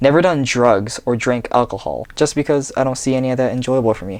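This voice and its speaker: Over a quiet background, a man talks at a fairly quick pace. His medium-pitched voice keeps a fairly even intonation. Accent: West Coast. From US Pacific Northwest, Seattle. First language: Japanese. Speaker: vlogger. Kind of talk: reading aloud. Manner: read from script.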